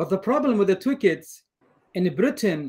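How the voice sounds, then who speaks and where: Very wide pitch swings from a man, delivered at a fairly slow pace. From northern Iraq. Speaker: graduate student. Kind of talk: seminar discussion. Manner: halting.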